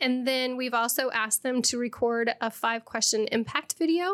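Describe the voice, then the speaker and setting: A woman's high-pitched voice with a Midwestern American accent at a moderate pace, on a very clean recording with a silent background. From central Illinois (near Springfield). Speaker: education technology consultant. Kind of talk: podcast interview. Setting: studio.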